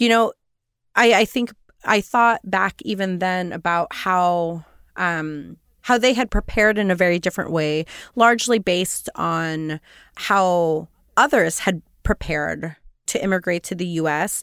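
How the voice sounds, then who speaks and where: In a normal speaking voice, a woman talks fairly slowly at medium pitch with ordinary pitch variation, on a very clean recording that is dry and close with no echo and a silent background. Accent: American. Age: 40s. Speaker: poet. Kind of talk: interview.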